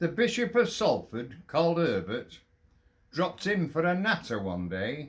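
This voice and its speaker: A man with a Lancashire accent speaks at a fairly slow pace in a fairly high voice marked by vocal fry. His pitch swings very widely. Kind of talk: poetry reading.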